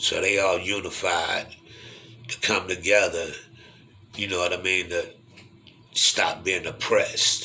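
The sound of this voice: A man talks slowly in a low, bright, sharp voice with little pitch movement. Long, frequent pauses break his speech, and room echo is audible.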